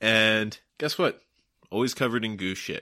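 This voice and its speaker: A man with a normal speaking voice talks at a moderate pace and medium pitch. The recording is very clean, with a silent background. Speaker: guest. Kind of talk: casual banter chat. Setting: at home, drinking. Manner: joking, playful.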